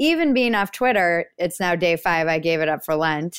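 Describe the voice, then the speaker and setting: A woman with an American accent and fairly low pitch, at a moderate pace, on a very clean recording with a silent background. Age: 40s. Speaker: writer and comedian. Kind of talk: casual chat.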